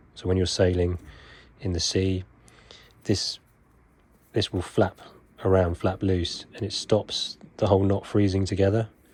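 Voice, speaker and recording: Somewhat breathy and monotone, with flat intonation, a man with a very deep, low pitch speaks at a fairly slow pace with long, frequent pauses. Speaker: knot-tying instructor. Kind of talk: tutorial.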